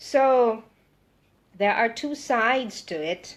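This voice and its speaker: A woman with a Western Visayas accent and ordinary pitch variation, against a quiet background. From Philippines, Visayas (Ilonggo). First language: Hiligaynon. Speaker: political vlogger. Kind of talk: live monologue. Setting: Facebook live video.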